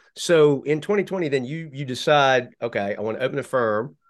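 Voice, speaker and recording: Lively intonation marks this man's ordinary speaking voice. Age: 50s. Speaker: lawyer and podcast host. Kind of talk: casual interview.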